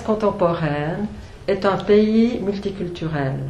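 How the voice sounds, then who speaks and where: A woman with a Swiss accent at a medium pitch, very slow pace and ordinary pitch variation, with noticeable background noise and audible room echo. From Switzerland. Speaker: author, former journalist. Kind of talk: book talk at a public event. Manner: hesitant, many fillers.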